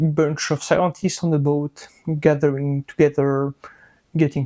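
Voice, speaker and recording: The speaker has a strong French accent. The background is quiet. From France. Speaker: microbiologist and science educator. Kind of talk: casual science explainer. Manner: animated, joking.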